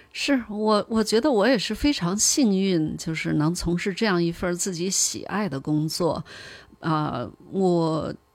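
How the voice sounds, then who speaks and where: A plain, everyday voice with lively intonation comes through on a very clean recording with a silent background. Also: woman, medium pitch for a woman, fairly slow pace. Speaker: polar expedition travel manager and former research scientist. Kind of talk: interview.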